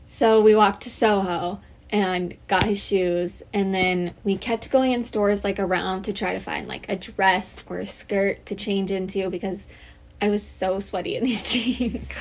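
A woman speaks at a fairly slow pace with a medium pitch and fairly even intonation. She has an unremarkable speaking voice. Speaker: college podcast co-host. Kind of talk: casual chat.

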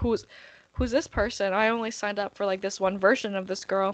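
A woman speaks at a medium pitch and a moderate pace. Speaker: podcast co-host. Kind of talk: casual chat. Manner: loud when excited.

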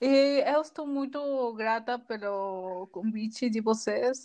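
A woman talks with ordinary pitch variation over a quiet background. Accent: Peruvian. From Peru. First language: Spanish (speaking Portuguese). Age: 20s. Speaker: graphic designer. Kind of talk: casual chat.

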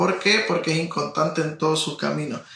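The man's pitch sits fairly high. Noticeable background noise and audible room echo surround him. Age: 30s. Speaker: pastor. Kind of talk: interview.

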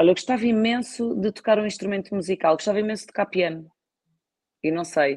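Talking at a very fast pace, a woman with a European Portuguese accent keeps a medium pitch and ordinary pitch variation. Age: 30s. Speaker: wine distribution executive. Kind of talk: interview. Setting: live stream.

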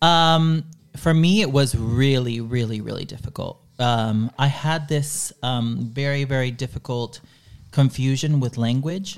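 A man's unremarkable speaking voice in a medium pitch with an American accent, fairly slow with ordinary pitch variation, on a very clean recording with a silent background. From Dallas, Texas, after early childhood in Chile. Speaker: podcaster. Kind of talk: casual interview.

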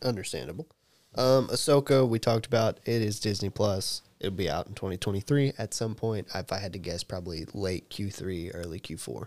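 Heard in a dry, close sound with no echo, a man speaks at a fairly quick pace and a fairly low pitch, with ordinary pitch variation. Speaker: podcast host. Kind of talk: casual chat. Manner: loud.

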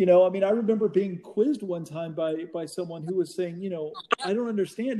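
Against noticeable background noise, a man with a high pitch speaks at a fairly quick pace with ordinary pitch variation. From Oklahoma. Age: 40s. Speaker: magazine owner. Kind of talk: casual interview. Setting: call.

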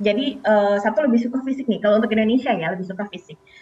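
A woman's fairly high voice, varying in pitch in an ordinary way, carries over noticeable background noise. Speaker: financial planner. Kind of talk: news interview. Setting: video call. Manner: hesitant with fillers. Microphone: delayed connection.

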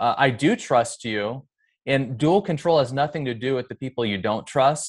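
In a very clean recording with a silent background, a man with an American accent and medium pitch talks at a moderate pace with ordinary pitch variation in a normal speaking voice. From US Pacific Northwest (Edmonds, Washington). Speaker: pastor and former bank manager. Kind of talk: casual interview.

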